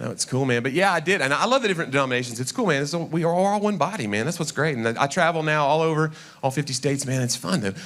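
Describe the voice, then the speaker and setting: Speaking very fast with hardly any pauses, a man with a Southern accent sounds animated, his fairly high voice full of lively intonation. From Tennessee, Knoxville. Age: 40s. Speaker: comedian. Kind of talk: stand-up. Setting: stage with audience.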